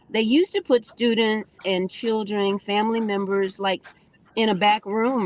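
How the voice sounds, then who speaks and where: A woman speaks at a moderate pace. Her medium pitch shows ordinary variation. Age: 60s. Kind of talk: personal testimony. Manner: halting, with many fillers.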